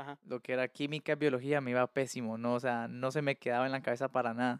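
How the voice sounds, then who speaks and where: A man with a Colombian accent talks at a very fast pace in a fairly high pitch, his intonation fairly even. The recording is very clean with a silent background and a dry, close sound without echo. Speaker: podcast guest, handyman. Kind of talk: casual chat.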